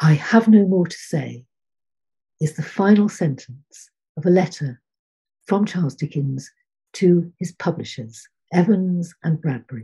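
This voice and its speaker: Her voice is somewhat breathy and fairly low, a woman's dark, mellow tone set against a quiet background. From Lincolnshire, England. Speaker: poet. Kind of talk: poetry reading, measured and rhythmic delivery. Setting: online video call. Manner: formal, dry-humoured, measured. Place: home room. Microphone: webcam.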